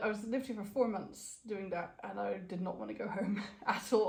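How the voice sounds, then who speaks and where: A woman speaks over noticeable background noise. The room echo is audible. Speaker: crochet cosplayer. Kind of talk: interview. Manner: fast.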